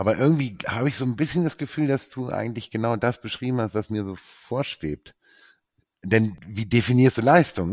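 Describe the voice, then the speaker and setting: A man talks in a plain, everyday voice at medium pitch. His pace is fairly quick. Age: 50s. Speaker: entrepreneur, sustainability engineer. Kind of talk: casual chat.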